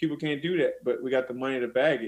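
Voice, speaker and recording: It is a normal speaking voice from a man with an American accent and fairly high pitch. He moves at a fairly quick pace with fairly even intonation. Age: 30s. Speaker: MMA fighter. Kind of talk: casual chat.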